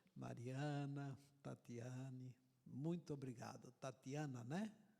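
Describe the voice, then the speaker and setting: A man at a very slow pace. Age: 70s. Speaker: visiting preacher. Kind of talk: sermon.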